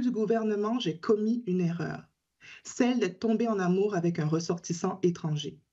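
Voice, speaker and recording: The voice is somewhat breathy with a dark, mellow tone, at a moderate pace. The background is quiet. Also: woman. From Caribbean island. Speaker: teacher and advocacy group spokesperson. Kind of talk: prepared testimony at a parliamentary hearing. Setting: parliamentary committee hearing.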